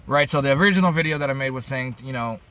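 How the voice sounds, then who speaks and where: A man speaks with an American accent and ordinary pitch variation. Background noise is noticeable. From upstate New York. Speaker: vlogger. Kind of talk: casual monologue. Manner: halting.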